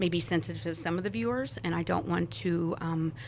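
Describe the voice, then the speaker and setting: Speaking at a fairly quick pace, a woman with a fairly low voice and vocal fry uses lively intonation. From US Midwest, South St. Louis, Missouri. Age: 40s. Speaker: church member sharing testimony. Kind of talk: testimony.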